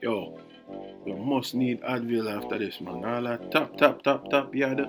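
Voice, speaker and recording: Over music in the background, a man with a Jamaican accent speaks fairly slowly at a medium pitch. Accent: Jamaican patois. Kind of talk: casual humorous voiceover commentary.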